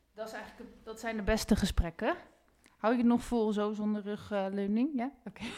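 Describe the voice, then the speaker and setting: Fairly quick and fairly high in pitch, a woman speaks with a dark, mellow tone. Her intonation stays fairly even while her loudness swings widely. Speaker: podcast host. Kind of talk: interview. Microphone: sounds echoey.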